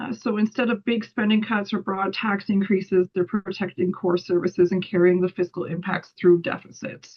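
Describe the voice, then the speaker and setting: Somewhat breathy, the woman's medium-pitched voice keeps a fairly even intonation. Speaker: policy analyst. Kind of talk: webinar presentation. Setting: online webinar. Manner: fast.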